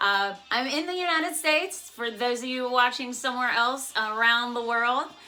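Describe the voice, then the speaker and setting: Speaking with an American accent, a woman has a high pitch, an animated tone and ordinary pitch variation. She keeps a moderate pace with hardly any pauses, over noticeable background noise. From West Virginia, US. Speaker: YouTuber. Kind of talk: casual vlog intro. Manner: chatty.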